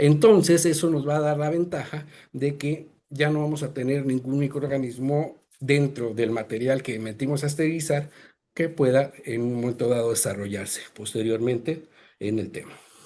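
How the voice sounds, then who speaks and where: This man's voice sits fairly high in pitch, with a dark, mellow tone and ordinary pitch variation. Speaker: presenter on sterilization technology. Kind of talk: webinar presentation. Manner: fast; halting, many fillers.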